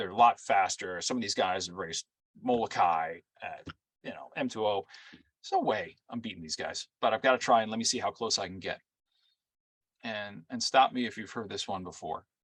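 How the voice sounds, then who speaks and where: Speaking fairly quickly with an American accent, a man's loudness swings widely in a dry, close sound with no echo. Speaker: race announcer. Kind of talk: interview answer. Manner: storytelling, engaging.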